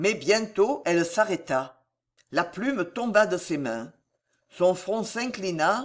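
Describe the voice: Over a quiet background comes plain reading aloud, its intonation lively.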